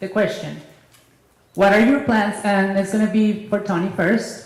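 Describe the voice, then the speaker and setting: A woman with a Spanish accent at medium pitch, with audible room echo. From Mexico. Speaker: business chamber president. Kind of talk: question at public forum. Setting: public hall with audience.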